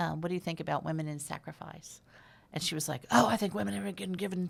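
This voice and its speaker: Fairly low for a woman, this voice has vocal fry, lively intonation and a fairly quick pace. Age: 60s. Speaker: film and TV producer. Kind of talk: interview. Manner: halting.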